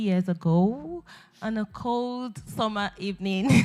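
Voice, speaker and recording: Speaking at a very slow pace, a woman uses a medium pitch with ordinary pitch variation. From Nigeria. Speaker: beauty pageant winner. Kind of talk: talk show interview. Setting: stage with audience.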